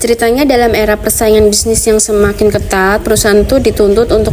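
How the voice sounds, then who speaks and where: Music plays in the background as a woman talks. Her pitch is medium and her pace fairly quick. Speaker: graduate student presenting research. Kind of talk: academic presentation. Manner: casual, chatty.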